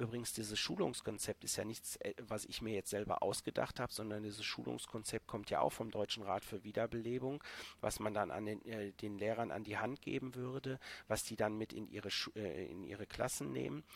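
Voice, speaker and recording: A man's fairly low voice with vocal fry, ordinary pitch variation and a fairly quick pace. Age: 40s. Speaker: intensive care nurse and first aid trainer. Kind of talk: podcast interview.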